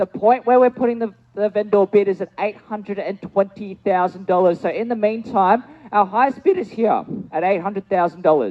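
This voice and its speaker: With an Australian accent, a man talks at a fairly quick pace, his high pitch showing ordinary variation. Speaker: auctioneer. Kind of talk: live auction calling.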